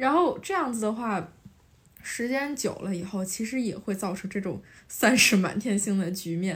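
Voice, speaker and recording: Somewhat breathy speech comes at a moderate pace with ordinary pitch variation. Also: woman, medium pitch for a woman. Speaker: university student. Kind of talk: casual chat.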